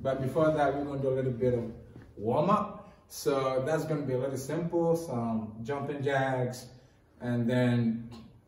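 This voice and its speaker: A man at a moderate pace, ordinary pitch variation, and audible room echo. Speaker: workout instructor. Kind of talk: tutorial. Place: gym.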